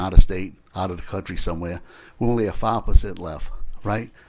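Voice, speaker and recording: A man with a South Louisiana accent, at a very fast pace with ordinary pitch variation. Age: 60s. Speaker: state legislator. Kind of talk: committee hearing questioning. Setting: legislative committee room. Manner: halting.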